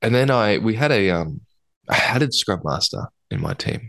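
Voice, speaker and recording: His pitch moves in an ordinary way. The speaker is a man with an Australian accent. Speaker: podcast co-host, agile coach. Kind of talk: casual chat.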